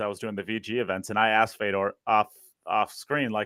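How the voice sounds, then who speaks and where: A man's medium-pitched voice in a Wisconsin accent. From Wisconsin, USA.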